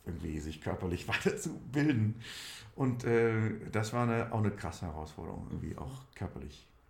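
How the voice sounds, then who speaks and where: A man's somewhat breathy voice sits at a fairly low pitch. It moves at a moderate pace with very wide pitch swings. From Saarland, Germany (Saarlouis district). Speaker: musical theatre actor. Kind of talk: casual interview.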